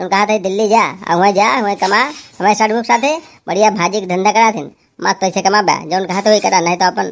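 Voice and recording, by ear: A man uses a cartoonish character voice with a high pitch and ordinary pitch variation. He talks at a very fast pace.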